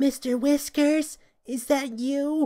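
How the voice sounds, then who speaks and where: A put-on character voice speaks in a high pitch with monotone, flat intonation. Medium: read story. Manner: nervous.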